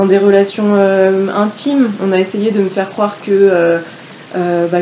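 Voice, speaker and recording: With noticeable background noise behind her, a woman speaks fairly slowly in a monotone, flat intonation at a medium pitch. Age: 20s. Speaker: law student. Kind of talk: casual chat.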